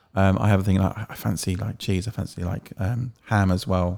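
The recording is very clean, with a silent background. A man with a fairly low pitch talks in a fairly even intonation. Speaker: podcast co-host and sound operator. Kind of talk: casual chat.

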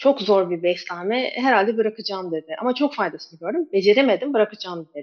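An unremarkable speaking voice from a woman, fairly high in pitch, at a fairly quick pace with lively intonation. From Turkey, Istanbul (born in Kabul). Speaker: ketogenic nutrition coach. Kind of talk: interview.

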